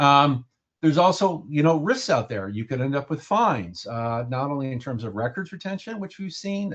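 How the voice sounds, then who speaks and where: Here a man talks at a very fast pace with lively intonation. His pitch is medium. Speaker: records management consultant. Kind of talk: webinar presentation.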